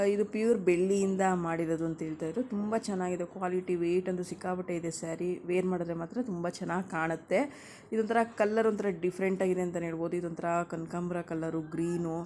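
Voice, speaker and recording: Her tone is dark and mellow, with a fairly low pitch. The woman keeps a fairly even intonation. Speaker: lifestyle vlogger. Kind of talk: voiceover narration.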